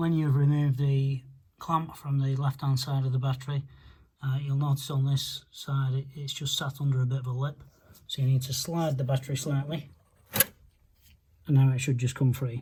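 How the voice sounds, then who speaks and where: A man's somewhat breathy, dark and mellow voice at a fairly high pitch, moderate in pace, flat and monotone, broken by long, frequent pauses. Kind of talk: DIY car repair tutorial.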